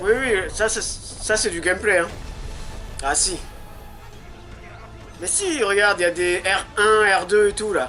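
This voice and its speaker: Over music in the background, a man with a high pitch uses a raised, projected voice at a very slow pace, with ordinary pitch variation and long, frequent pauses. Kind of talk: casual game trailer reaction. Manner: excited.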